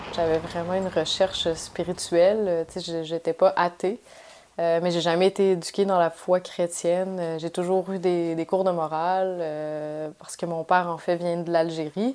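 Spoken at a fairly slow pace, the voice stays monotone with flat intonation. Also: woman, fairly low pitch for a woman. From Quebec City, Quebec. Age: 30s. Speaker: journalist. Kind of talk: testimony. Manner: halting, many hesitations.

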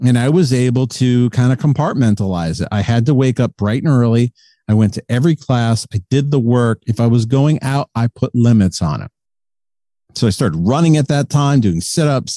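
A man with an American accent speaks at a moderate pace and medium pitch, in a plain, everyday voice with ordinary pitch variation. The sound is dry and close with no echo, over a quiet background. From Connecticut, near Hartford. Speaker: recovery podcaster, person in long-term recovery. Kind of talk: interview, personal recovery story.

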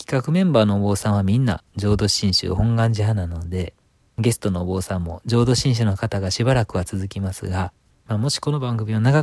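In a very clean recording with a silent background and a dry, close sound with no echo, a man with a fairly low pitch speaks at a fairly quick pace, somewhat breathy, with ordinary pitch variation. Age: 30s. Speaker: Buddhist priest and radio interviewer. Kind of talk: podcast introduction monologue. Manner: polite.

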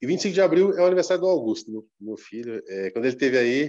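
Pitch swings very widely as a man talks at a fairly quick pace. The background is quiet. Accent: Brazilian. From Brazil. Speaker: football social media page creator. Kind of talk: casual interview chat.

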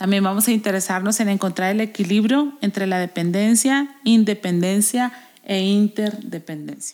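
At a fairly slow pace, a woman with a normal speaking voice speaks at medium pitch with ordinary pitch variation. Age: 40s. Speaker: podcast host. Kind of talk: casual chat about a self-help book.

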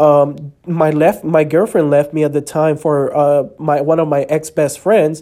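A man with a slight Spanish accent speaks fairly slowly, his fairly high voice dark and mellow in tone. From El Salvador. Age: 20s. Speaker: podcast host. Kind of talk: personal testimony.

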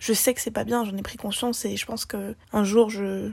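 Monotone, flat intonation from a woman at a medium pitch, delivered at a moderate pace. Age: young. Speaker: interviewee, smoker. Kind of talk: interview testimony.

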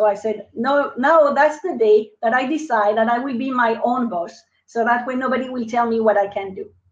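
A woman with a French accent talks at a fairly quick pace. Her pitch is fairly high, with ordinary variation. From France. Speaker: business coach and marketing expert. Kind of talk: interview. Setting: live online video broadcast.

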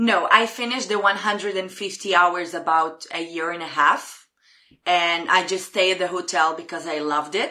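With an Israeli accent, the voice has a bright, sharp, animated tone at a moderate pace. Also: woman. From Israel (Jerusalem). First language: Hebrew. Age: 20s. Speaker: former hotel receptionist. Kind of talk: casual interview. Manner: talks with her hands, animated.

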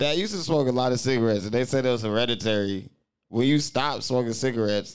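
In an animated tone, a man talks at a very fast pace with a medium pitch and ordinary pitch variation. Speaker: podcast host. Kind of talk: casual chat. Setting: studio. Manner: animated, loud.

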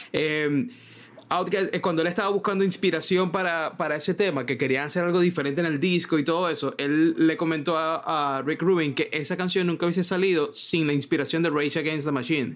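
A man speaks at a fairly quick pace with a fairly high pitch. His is an unremarkable speaking voice. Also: fairly even intonation. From Venezuela. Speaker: podcast host, graphic designer. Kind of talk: casual chat.

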